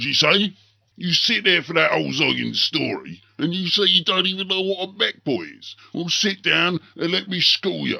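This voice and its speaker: Putting on a character voice, a man speaks high in pitch at a moderate pace. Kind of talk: character lore narration. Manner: gruff, boisterous.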